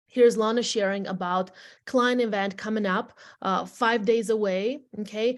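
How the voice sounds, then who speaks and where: A woman with a non-native accent speaks at a fairly high pitch. Her pace is fairly slow, against a quiet background. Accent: foreign. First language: not English. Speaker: real estate agent and team leader. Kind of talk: training presentation to agents. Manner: animated, repetitive address to audience.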